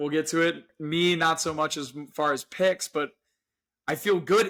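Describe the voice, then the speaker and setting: A man's high-pitched voice comes across animated, with a bright, sharp tone. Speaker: sports podcast co-host. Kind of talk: casual sports chat. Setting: podcast recording.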